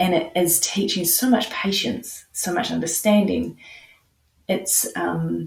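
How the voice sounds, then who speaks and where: A woman with a New Zealand accent speaks at a very slow pace. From New Zealand, Nelson. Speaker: counselor. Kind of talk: podcast interview.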